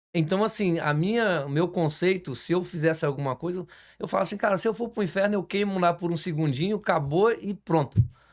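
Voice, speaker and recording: Here a man talks at a fairly quick pace in a high voice. His pitch varies in an ordinary way. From Brazil, Espírito Santo. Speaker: construction business owner, church guest. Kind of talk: casual interview.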